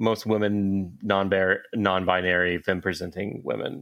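The intonation stays fairly even in an unremarkable speaking voice. The pace is fairly slow. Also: man. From US South, Atlanta. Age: 30s. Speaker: comic book and entertainment writer. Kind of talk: casual chat.

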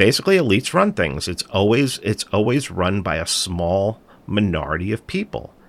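In a New York accent, a man with a fairly low pitch speaks at a moderate pace. The recording is very clean, with a silent background. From New York City, the Bronx. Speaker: podcast host and documentary producer. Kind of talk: political interview.

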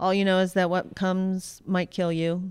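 A woman speaks in a normal speaking voice with an American accent, at medium pitch and a fairly slow pace. The recording is very clean, with a silent background. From Pittsburgh, Pennsylvania. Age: 40s. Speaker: surf photographer and filmmaker. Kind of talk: casual interview chat.

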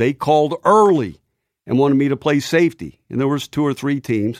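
Speaking at a fairly quick pace with an American accent, a man with a fairly high pitch is heard on a very clean recording with a silent background and a dry, close sound with no echo. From US West Coast, San Jose, California. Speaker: retired football coach. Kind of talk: interview.

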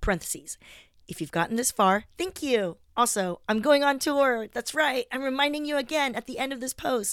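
Over a silent background in a very clean recording, a woman with a high pitch speaks at a moderate pace with lively intonation. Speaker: stand-up comedian and podcaster. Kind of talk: reading aloud her own blog post. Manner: casual, unedited one take.

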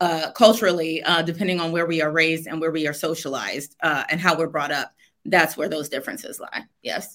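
A woman's fairly low, bright, sharp voice with an American accent, animated in tone and fairly quick in pace. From US, Washington DC. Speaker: author and workshop facilitator. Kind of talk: interview. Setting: remote video call. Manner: animated, laughs often.

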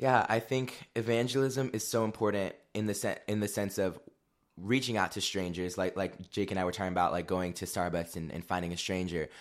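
In a very clean recording with a silent background, a man talks at a fairly quick pace. He has an unremarkable speaking voice, fairly low in pitch, with ordinary pitch variation. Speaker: guest, former youth group student. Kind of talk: casual interview chat.

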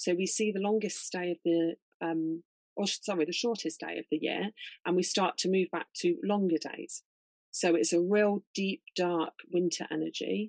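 In a dry, close sound with no echo, a woman with a fairly low pitch and ordinary pitch variation speaks in a normal speaking voice. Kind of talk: guided meditation. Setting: video call. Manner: slow, calm, soothing, gentle pacing with pauses.

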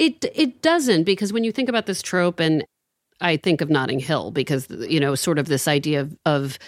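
The speech moves at a moderate pace with lively intonation, recorded very cleanly against a silent background with a dry, close sound and no echo. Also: woman. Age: 40s. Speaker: advice columnist. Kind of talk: casual chat.

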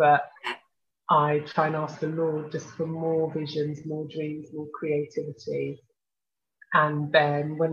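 In a Birmingham accent, a woman with a very deep, low pitch talks at a fairly slow pace in a monotone, flat intonation. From Birmingham, England. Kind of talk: interview.

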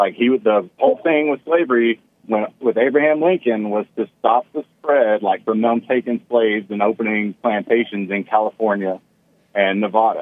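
A plain, everyday voice from a man, medium in pitch, with ordinary pitch variation and a moderate pace. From Texas. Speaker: caller. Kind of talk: heated debate. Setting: phone call.

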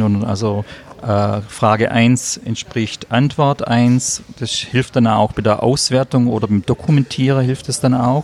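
A man at a medium pitch and a very slow pace, with ordinary pitch variation and noticeable background noise. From southern Germany, Stuttgart area. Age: 50s. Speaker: vocational trainer. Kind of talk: interview. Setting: cafeteria at a conference.

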